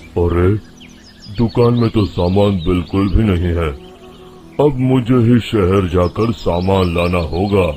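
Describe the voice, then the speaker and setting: Over clear background music and a rumbling sound, a man uses a put-on character voice with a very deep, low pitch and a fairly slow pace. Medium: cartoon. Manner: gruff, grumbling.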